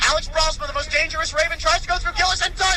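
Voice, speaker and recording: Extremely high-pitched, a man speaks in a raised, projected voice with an energetic tone. His intonation is lively, and noticeable background noise runs underneath. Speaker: radio play-by-play announcer. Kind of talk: live ice hockey radio play-by-play. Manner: fast, energetic, rapid-fire.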